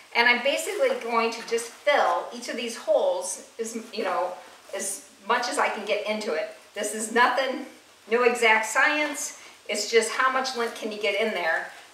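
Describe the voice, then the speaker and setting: A woman talks at a moderate pace. Room echo is audible along with light background noise. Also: ordinary pitch variation. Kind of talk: tutorial. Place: kitchen. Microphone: camera far.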